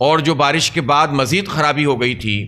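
A man at a fairly slow pace. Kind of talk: press statement. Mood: critical, indignant. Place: hall. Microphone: podium.

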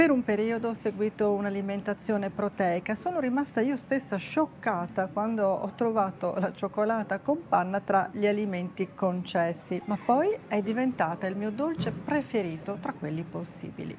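A woman talks at a moderate pace with lively intonation and hardly any pauses. Light background noise sits underneath. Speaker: nutrition vlogger. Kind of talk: casual vlog chat. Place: street. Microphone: lapel.

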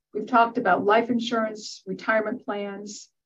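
With an American accent and vocal fry, a woman talks at a moderate pace over a quiet background. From US Midwest. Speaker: tax professor, retired accountant; professor presenting webinar. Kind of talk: webinar lecture. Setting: online webinar. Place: office. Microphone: webcam.

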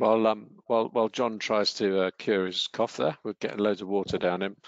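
In a normal speaking voice, a man talks at a moderate pace and fairly low pitch with fairly even intonation, the sound dry with no echo and the background quiet. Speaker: wellbeing trainer. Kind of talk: online training webinar. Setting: online webinar. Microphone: headset.

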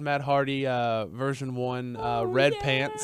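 A man speaks at a fairly slow pace in a normal speaking voice, at medium pitch. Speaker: wrestling podcast co-host. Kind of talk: casual chat. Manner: excitable.

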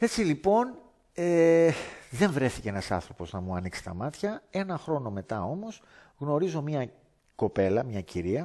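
With a dark, mellow tone and very wide pitch swings, a man speaks at a fairly slow pace over a quiet background. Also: fairly high pitch for a man. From Greece, Athens area (Lavrio); Greece. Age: 50s. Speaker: former martial arts teacher. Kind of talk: testimony. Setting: indoors by a fireplace. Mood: earnest, animated storytelling. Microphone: headset.

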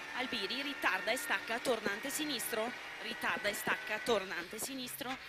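Amid loud background noise, a woman speaks in an intense tone at a fairly high pitch, with ordinary pitch variation and a moderate pace. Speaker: rally co-driver. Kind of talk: rally co-driver pace notes. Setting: in a rally car during a stage. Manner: intense, tense, calling corners and distances without pause. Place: car. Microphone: headset.

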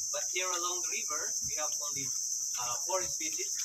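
Loud background noise fills the recording. Through it, a man talks. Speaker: boat tour guide. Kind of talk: tour guide commentary. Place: boat. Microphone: phone near.

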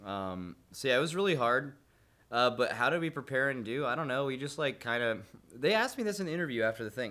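A man speaks very fast at a medium pitch. His intonation is lively and his tone bright and sharp. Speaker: raid guild leader/player. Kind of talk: casual interview. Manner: casual, joking, laughing.

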